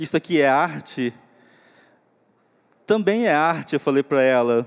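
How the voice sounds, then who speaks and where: A man's fairly high, fairly slow voice with lively intonation, very even loudness and a dry, close sound with no echo. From Upper Rio Negro, northwest Amazon, Brazil. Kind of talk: panel talk. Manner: halting.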